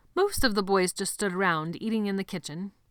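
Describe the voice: What is heard here is plain reading aloud.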